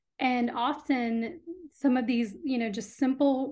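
Here a woman speaks in a General American accent with a high pitch. Her intonation is fairly even and her pace fairly slow. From US Midwest and Texas (Illinois, then Austin). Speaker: skincare brand founder. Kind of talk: interview.

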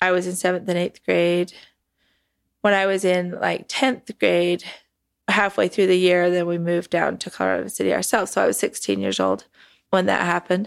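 A woman with an American accent talks at a moderate pace, recorded very cleanly against a silent background. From Utah, Salt Lake area. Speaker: cult survivor, documentary subject. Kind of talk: interview testimony.

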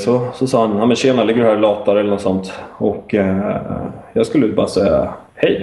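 There is noticeable background noise behind this man. His voice is medium in pitch, with ordinary pitch variation. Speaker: stroke survivor and former footballer. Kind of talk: interview. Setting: Skype call. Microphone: sometimes choppy line.

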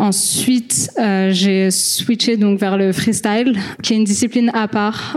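Amid noticeable background noise, a woman at a fairly high pitch speaks with fairly even intonation. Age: 20s. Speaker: football freestyler. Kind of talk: panel discussion.

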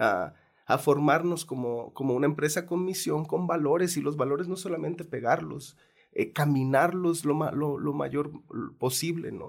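With ordinary pitch variation, a man keeps a moderate pace as he talks. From Mexico. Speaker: film producer and documentary director. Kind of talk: interview. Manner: halting.

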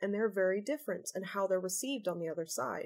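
A woman talks with an American accent. Her intonation is lively. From US-born, living in UK. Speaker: customs and trade adviser. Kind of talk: expert interview.

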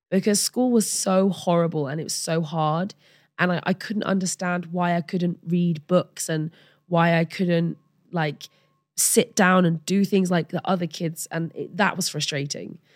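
An English accent at a fairly slow pace with fairly even intonation, in a dry, close sound with no echo. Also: woman, fairly low pitch for a woman. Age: 30s. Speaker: model and ADHD advocate. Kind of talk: interview.

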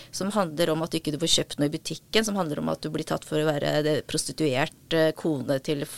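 This woman's pitch is very deep and low. Her intonation stays fairly even. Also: dry, close sound with no echo. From Norway, adopted from South Korea as a child. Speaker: author and psychiatric nurse. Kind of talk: interview conversation. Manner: halting.

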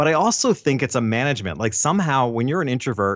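A man with a normal speaking voice talks at a fairly quick pace and a medium pitch. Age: 50s. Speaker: photographer and business coach. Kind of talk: interview conversation.

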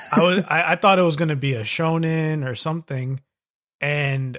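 The speech has ordinary pitch variation and a moderate pace, in a very clean recording with a silent background. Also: man. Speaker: podcast co-host. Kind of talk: casual chat.

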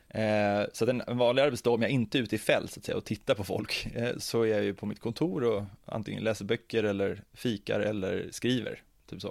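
An ordinary speaking voice moves at a fairly quick pace with hardly any pauses and fairly even intonation, in a very clean recording with a silent background. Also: man, medium pitch for a man. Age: 30s. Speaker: ethnology doctoral researcher. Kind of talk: interview conversation.

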